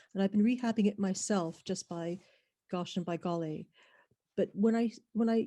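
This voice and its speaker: A woman speaks in a dark, mellow tone. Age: 60s. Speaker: webinar attendee asking a question. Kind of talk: audience question in a webinar Q&A. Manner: halting.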